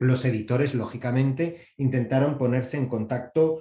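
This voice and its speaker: A man's medium-pitched voice, somewhat breathy with a dark, mellow tone, fairly even intonation and a moderate pace. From Basque Country, Spain. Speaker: copyright organization representative, panelist. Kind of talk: panel presentation.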